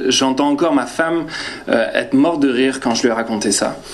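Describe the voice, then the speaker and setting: Audible room echo plus noticeable background noise. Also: man. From northern France. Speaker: preacher. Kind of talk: sermon. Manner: halting, many hesitations.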